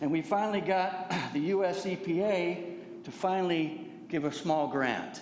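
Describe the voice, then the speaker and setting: Someone with an American accent speaks at a moderate pace with ordinary pitch variation, amid noticeable background noise and audible room echo. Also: man, high pitch for a man. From Santa Rosa, California. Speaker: public commenter. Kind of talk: public comment. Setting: public meeting.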